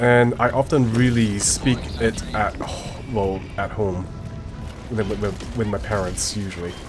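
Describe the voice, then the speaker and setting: Music plays behind a man speaking at a fairly slow pace in a Chinese accent. His pitch is fairly low with ordinary variation, and the room echo is audible. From multicultural English-speaking place near Singapore. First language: Mandarin Chinese. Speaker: gaming streamer. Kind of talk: casual chat. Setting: live stream. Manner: halting.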